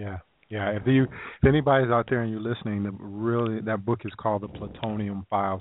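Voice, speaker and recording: At a moderate pace, a man with a Southern US accent speaks in a fairly low pitch with fairly even intonation. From US South, South Carolina. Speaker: health talk radio host. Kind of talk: radio interview. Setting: online call-in radio show. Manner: casual.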